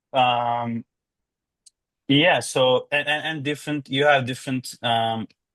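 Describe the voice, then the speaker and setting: At a fairly slow pace, a man with a slight Turkish accent speaks in a medium pitch with monotone, flat intonation. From Turkey. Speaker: law graduate. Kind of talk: interview. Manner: halting.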